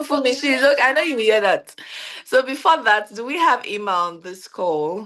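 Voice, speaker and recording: Her intonation is lively, with big swings in loudness. The woman's pitch is fairly high and her pace is moderate. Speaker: organization founder hosting team event. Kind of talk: virtual event hosting.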